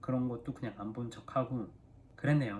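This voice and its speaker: A man with an unremarkable speaking voice talks at a fairly quick pace and a medium pitch with ordinary pitch variation. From South Korea. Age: 30s. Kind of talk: casual talk to camera.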